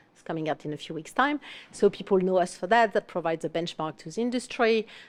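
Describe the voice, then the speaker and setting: Speaking with a non-native accent at a very fast pace, a woman of medium pitch uses lively intonation with big swings in loudness. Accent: foreign. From France. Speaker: fractional marketing executive. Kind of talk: panel discussion.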